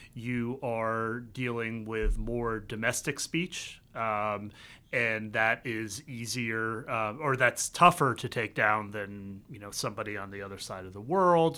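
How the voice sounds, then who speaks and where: The voice has an American accent and a bright, sharp tone. It moves at a fairly slow pace with big swings in loudness. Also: man, medium pitch for a man, ordinary pitch variation, hardly any pauses, very clean recording, silent background. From US South, the Carolinas. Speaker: tech policy communications professional. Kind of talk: casual interview chat. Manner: halting, many fillers.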